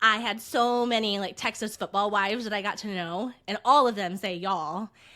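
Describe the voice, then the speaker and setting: This woman has a US Midwestern accent, a medium pitch and a bright, sharp tone. She keeps a moderate pace and fairly even intonation on a very clean recording with a silent background. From Indiana. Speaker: podcast co-host. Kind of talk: casual chat.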